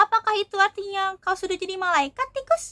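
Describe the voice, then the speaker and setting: At a fairly quick pace, a woman performs a put-on character voice at an extremely high pitch. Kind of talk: bedtime story. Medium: read story.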